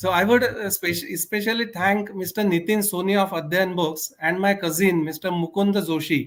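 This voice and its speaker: At a moderate pace, a man with a Marathi accent speaks in a high pitch with fairly even intonation. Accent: Indian English, Marathi. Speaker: author. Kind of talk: interview.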